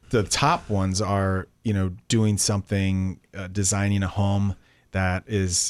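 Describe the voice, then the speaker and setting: A man's very deep, low voice with fairly even intonation, in a very clean recording with a silent background. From Tampa Bay, Florida. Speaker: general contractor and real estate show host. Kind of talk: casual radio interview. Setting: radio studio.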